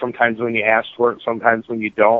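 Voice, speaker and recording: This man speaks at a medium pitch with an American accent. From North Carolina, Charlotte. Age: 40s. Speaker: retail store director and bulldog show hobbyist. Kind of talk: interview.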